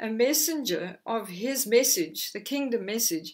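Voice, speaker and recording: A quiet background behind a woman speaking at a fairly slow pace. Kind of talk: sermon. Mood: warm, earnest. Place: home room. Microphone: lapel.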